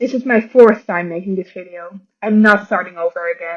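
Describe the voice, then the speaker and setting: A woman with a slight non-native accent speaks in a bright, sharp tone with lively intonation. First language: not English. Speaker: animator, video creator.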